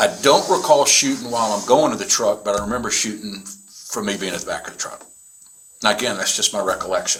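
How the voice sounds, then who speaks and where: Noticeable noise sits in the background as a man speaks very fast. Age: 60s. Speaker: reserve police officer / prosecutor. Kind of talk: police interview statement. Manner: casual, halting.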